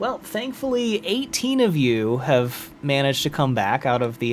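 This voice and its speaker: A man with a fairly high pitch and very wide pitch swings talks at a fairly slow pace over noticeable background noise. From US South. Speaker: gaming streamer. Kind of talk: live gameplay stream commentary. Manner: casual, animated.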